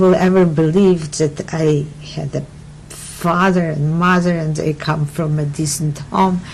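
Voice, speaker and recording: A woman at a fairly slow pace with fairly even intonation, amid noticeable background noise. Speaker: Holocaust survivor, immigrant. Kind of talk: oral history interview answer.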